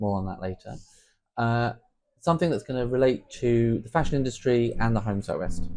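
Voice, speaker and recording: Speaking in a southern English accent, a man has a medium pitch with ordinary variation. He keeps a fairly quick pace. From southern England (Portsmouth). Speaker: podcast host, home sewist. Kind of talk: casual podcast chat.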